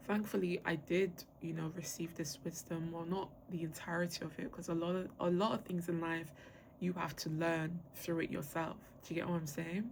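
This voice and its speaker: At a moderate pace, a woman with an ordinary speaking voice talks at a fairly low pitch with fairly even intonation. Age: 20s. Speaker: podcast host. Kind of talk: casual monologue. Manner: casual, filler-heavy.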